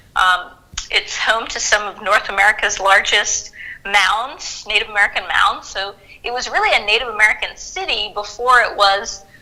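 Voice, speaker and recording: With noticeable background noise behind her, a woman speaks at a moderate pace, her fairly high pitch held in fairly even intonation. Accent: slight Southern US. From US South, Macon, Georgia. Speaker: historian. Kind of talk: interview.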